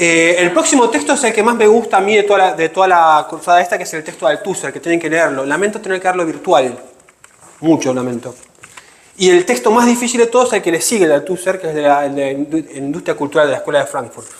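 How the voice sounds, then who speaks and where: Against noticeable background noise, the speaker talks at a very fast pace with lively intonation. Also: man, high pitch for a man. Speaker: teacher. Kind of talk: lecture.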